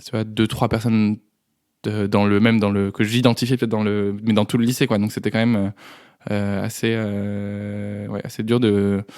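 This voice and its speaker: A man speaks at a moderate pace in a fairly low pitch, his intonation flat and monotone, on a very clean recording with a silent background. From France, Dreux area. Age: 20s. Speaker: podcast guest. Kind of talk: testimony. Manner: halting, many hesitations.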